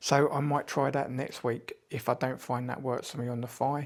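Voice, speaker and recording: Speaking at medium pitch, a man keeps a monotone, flat intonation. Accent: British. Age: 50s. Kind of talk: casual talk to camera.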